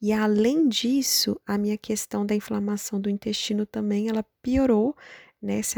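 At a very slow pace, a woman speaks in a medium pitch with a dark, mellow tone and monotone, flat intonation, the sound dry and close with no echo. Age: 30s. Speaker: patient sharing her illness story. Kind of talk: interview, personal testimony.

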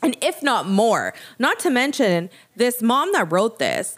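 In a very clean recording with a silent background, a woman speaks at a fairly slow pace in an animated tone, her fairly high pitch swinging very widely. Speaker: podcast host. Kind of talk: casual chat.

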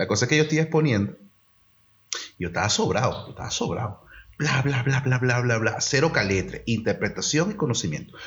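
At a fairly quick pace, a man talks in a medium pitch with a somewhat breathy voice. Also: lively intonation. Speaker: podcast co-host. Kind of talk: casual chat.

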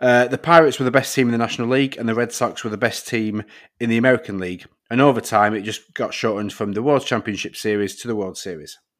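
A man at a medium pitch with a Northern English accent, at a very fast pace and with ordinary pitch variation, on a very clean recording with a silent background. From northern England. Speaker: podcast host. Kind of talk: casual banter.

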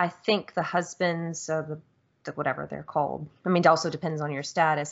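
A woman's fairly low voice, an unremarkable speaking voice, at a fairly quick pace. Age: 30s. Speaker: video game podcast host. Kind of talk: casual chat.

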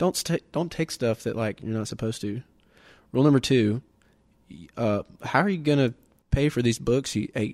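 With a Southern US accent, a man at medium pitch speaks at a moderate pace with lively intonation and long, frequent pauses, in a dry, close sound with no echo. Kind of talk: casual chat.

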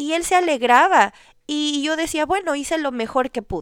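With lively intonation and a moderate pace, a woman talks on a very clean recording with a silent background. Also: dry, close sound with no echo. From Ecuador. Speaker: podcast host. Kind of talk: solo podcast monologue on marriage.

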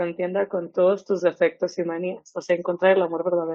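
A woman speaks with a Mexican accent. Her pitch sits in the medium range. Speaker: podcast co-host. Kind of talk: casual chat. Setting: studio.

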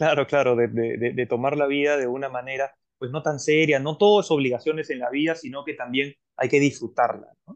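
Using fairly even intonation, a man talks at a fairly high pitch. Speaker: podcast host. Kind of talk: interview. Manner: halting, many repetitions.

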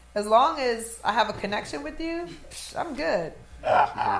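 Speech at a fairly slow pace with very wide pitch swings comes through noticeable background noise. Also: woman. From New Orleans, born in Trinidad and Tobago. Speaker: DJ and actress. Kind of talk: casual chat.

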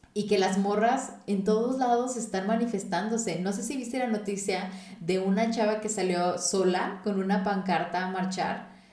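Fairly even intonation and hardly any pauses come through noticeable background noise and audible room echo. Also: woman, medium pitch for a woman, moderate pace. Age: 20s. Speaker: podcast host. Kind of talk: casual chat.

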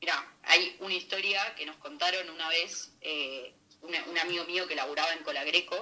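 A woman speaks at a fairly slow pace with an Argentine accent. Her voice is fairly low, and there is noticeable background noise. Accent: Rioplatense Argentine Spanish. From Argentina, Buenos Aires. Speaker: chef. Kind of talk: casual interview.

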